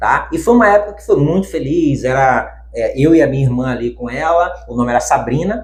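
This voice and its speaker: A man at a fairly quick pace, with hardly any pauses, big swings in loudness and audible room echo. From Bahia backlands, Brazil. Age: 30s. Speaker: bank worker, pet sheep owner. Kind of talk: interview, personal story.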